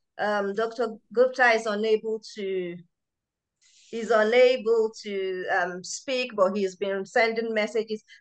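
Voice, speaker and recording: A woman with a Nigerian accent, fairly high-pitched and fairly slow, against a quiet background. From Nigeria (Yoruba). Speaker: medical researcher and event organiser. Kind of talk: public lecture and book launch hosting.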